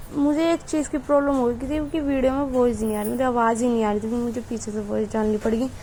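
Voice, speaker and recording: There is noticeable background noise as a woman speaks in a high pitch. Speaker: vlogger. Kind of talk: vlog voiceover narration. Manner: casual, halting with self-corrections.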